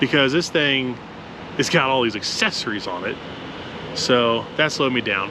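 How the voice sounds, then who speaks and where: At a moderate pace, a man talks while noticeable background noise fills the recording. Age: middle-aged. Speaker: drag racer and channel host. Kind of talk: casual chat. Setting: outdoors.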